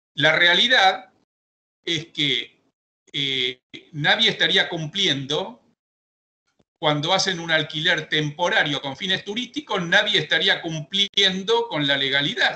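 The speech, in a Rioplatense accent, goes at a very slow pace with long, frequent pauses and ordinary pitch variation. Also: man, high pitch for a man. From Argentina. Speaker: real estate broker and auctioneer; auctioneer. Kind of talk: audience question. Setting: video call. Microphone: video call.

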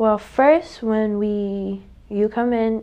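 The speaker is a woman. She talks in a Miami accent. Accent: Miami American English, Haitian heritage. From Miami, Florida. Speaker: technical college staff member. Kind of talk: interview. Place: studio. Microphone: lapel.

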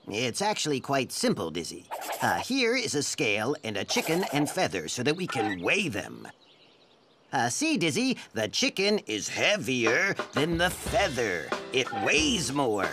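A man puts on a cartoonish character voice, fairly high in pitch. He speaks at a fairly slow pace. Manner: patient, explanatory.

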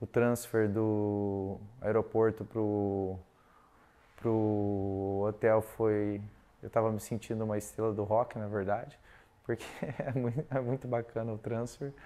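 Monotone, flat intonation marks this man's fairly low voice. He speaks at a very slow pace with long, frequent pauses. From Brazil. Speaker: hair transplant patient. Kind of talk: testimonial. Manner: hesitant, with filler sounds. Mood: pleased, relaxed. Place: office. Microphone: lapel.

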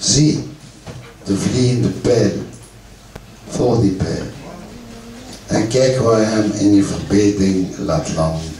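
At a very slow pace, a man speaks with lively intonation and long, frequent pauses, amid light background noise and audible room echo. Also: fairly low pitch for a man. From Ghent, Belgium. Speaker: poet. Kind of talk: live poetry reading. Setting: live venue with audience. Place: stage. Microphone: camera far.

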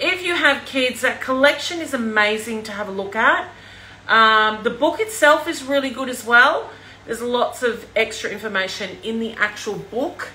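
In a high voice with lively intonation, a woman speaks at a moderate pace. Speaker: presenter. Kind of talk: casual livestream chat. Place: kitchen. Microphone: phone near.

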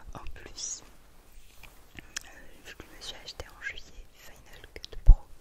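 A woman's whisper with big swings in loudness and long, frequent pauses. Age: 20s. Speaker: ASMR creator. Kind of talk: ASMR personal attention. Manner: whispered, soft-spoken. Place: home room.

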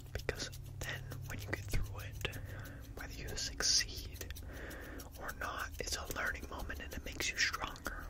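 Loud background noise is present throughout. Against it, a man talks at a moderate pace. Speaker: ASMR creator playing a barber. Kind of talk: soft roleplay chat. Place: home room. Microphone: studio mic.

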